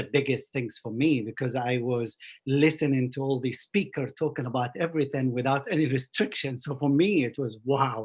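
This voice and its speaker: Somewhat breathy speech at a moderate pace, with an Arabic accent. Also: man. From Jordan and Kuwait, Palestinian family. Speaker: mountaineer. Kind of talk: interview conversation. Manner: halting.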